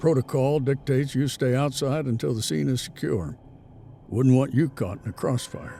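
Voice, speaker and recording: Using a gruff, put-on character voice, a man speaks at a moderate pace and medium pitch with ordinary pitch variation, clear background noise behind him. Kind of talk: authoritative, stern.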